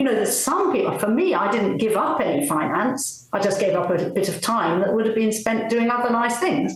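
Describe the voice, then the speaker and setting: A woman's fairly high voice at a fairly quick pace, with audible room echo and noticeable background noise. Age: 70s. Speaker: retired paediatrician. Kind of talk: interview conversation.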